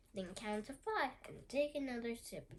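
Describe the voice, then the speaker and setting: A woman uses a put-on character voice, pitched high, at a moderate pace. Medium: read story.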